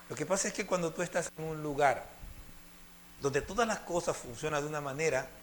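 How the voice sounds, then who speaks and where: A man with a fairly high pitch talks at a fairly quick pace, using ordinary pitch variation. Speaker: preacher. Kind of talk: sermon.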